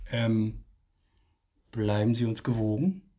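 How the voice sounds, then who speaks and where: Quiet and somewhat breathy, the voice carries a dark, mellow tone. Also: man. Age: 40s. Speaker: podcast co-host. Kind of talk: casual chat. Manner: speaking more quietly.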